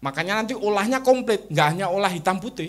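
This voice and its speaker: The speaker talks at a very fast pace with lively intonation and a Javanese accent. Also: man. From Java, Indonesia. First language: Javanese (speaking Indonesian). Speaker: Islamic culture thinker. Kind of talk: interview talk on religion and culture.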